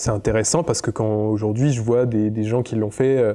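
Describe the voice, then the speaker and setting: Dark, mellow male speech at a middle pitch, its pitch moving in an ordinary way. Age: 20s. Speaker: photographer and content creator. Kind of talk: interview testimony. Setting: at his home. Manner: hesitant, many fillers and repetitions.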